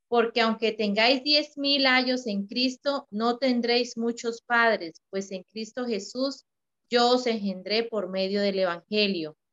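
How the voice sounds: With a fairly high pitch and a fairly bright tone, a woman speaks at a fairly slow pace with ordinary pitch variation.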